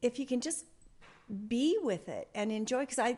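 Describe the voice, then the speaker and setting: Her voice is high-pitched. The woman's pitch varies in an ordinary way. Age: 70s. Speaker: podcast co-host, mother. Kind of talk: casual chat. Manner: halting, many fillers.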